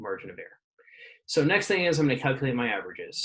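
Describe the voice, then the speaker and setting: A man's voice with ordinary pitch variation. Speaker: physics teacher. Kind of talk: tutorial. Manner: fast.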